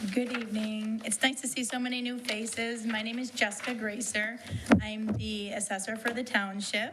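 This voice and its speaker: Over noticeable background noise and audible room echo, a woman with a fairly high pitch speaks at a moderate pace in a flat, monotone way. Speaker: township assessor. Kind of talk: departmental report. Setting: township board meeting room. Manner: loud.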